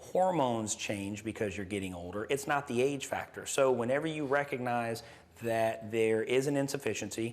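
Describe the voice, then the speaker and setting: This is a man with an ordinary speaking voice at a medium pitch. He keeps a moderate pace with ordinary pitch variation. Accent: American. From US South, Gulf Coast Mississippi. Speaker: nurse practitioner and clinic owner. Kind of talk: interview. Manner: casual, with frequent fillers.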